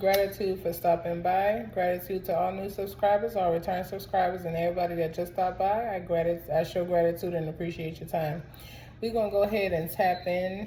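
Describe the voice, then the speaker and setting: Somewhat breathy and medium-pitched, a woman speaks at a fairly quick pace with fairly even intonation. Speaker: tarot reader. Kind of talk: tarot reading to camera. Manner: casual, chatty.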